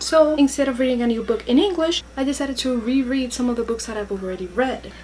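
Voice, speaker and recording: Over noticeable background noise, a woman with a Spanish accent talks at a very fast pace in a high pitch with ordinary pitch variation. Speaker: YouTuber. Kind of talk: vlog tips talk.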